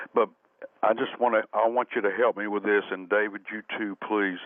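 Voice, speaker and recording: A man with a fairly low pitch speaks in a Southern US accent. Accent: Southern American. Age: 70s. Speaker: caller. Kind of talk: call-in question. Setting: phone call. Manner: halting.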